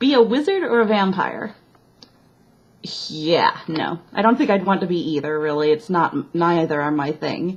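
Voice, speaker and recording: Speaking with a slight Midwestern accent, a woman uses a fairly low pitch and lively intonation at a moderate pace. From US Midwest, Chicago. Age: 20s. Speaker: vlogger. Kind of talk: casual chat.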